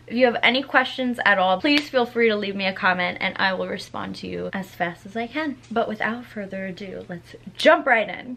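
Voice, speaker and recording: Fairly quick, lively speech with hardly any pauses and big swings in loudness, against noticeable background noise. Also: woman, medium pitch for a woman. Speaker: makeup youtuber. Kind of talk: tutorial. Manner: casual, chatty.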